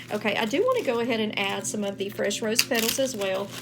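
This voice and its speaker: Noticeable background noise surrounds the speaker. She is a woman with a Texan accent and a medium pitch. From Texas. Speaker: spiritual practitioner. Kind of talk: tutorial. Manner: casual, chatty.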